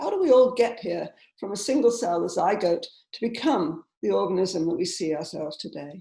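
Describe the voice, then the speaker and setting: This voice has a dark, mellow tone, somewhat breathy, with an English accent. It moves at a fairly quick pace through very wide pitch swings. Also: woman. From southern England. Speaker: scientist. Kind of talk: lecture.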